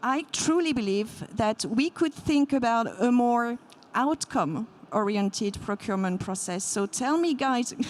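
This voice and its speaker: A woman talks at a high pitch, her intonation lively. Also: fairly slow pace. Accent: French. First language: French. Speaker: payments company executive, panelist. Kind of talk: panel discussion.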